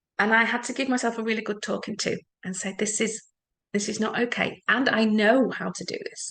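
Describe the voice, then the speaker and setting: A woman in an English accent speaks at a fairly quick pace with a fairly high pitch. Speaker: EFT practitioner. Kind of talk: talk to an audience. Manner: fast; animated.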